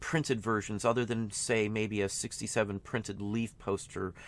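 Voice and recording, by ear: A man speaks at a fairly low pitch. His pace is moderate.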